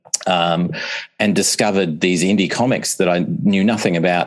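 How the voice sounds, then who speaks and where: Against noticeable background noise, a man with an Australian accent speaks at a very deep, low pitch. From Australia, Melbourne. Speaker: author and composer. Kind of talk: casual interview.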